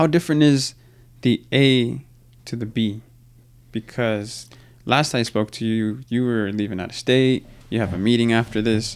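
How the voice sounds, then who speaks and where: The recording is very clean, with a silent background. A man speaks at a moderate pace with ordinary pitch variation and long, frequent pauses. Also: medium pitch for a man. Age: 30s. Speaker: podcast host. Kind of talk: interview conversation. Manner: casual, energetic.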